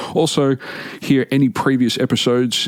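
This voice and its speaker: The man talks with an Australian accent at a moderate pace. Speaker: metal podcast host. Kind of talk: podcast monologue. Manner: casual.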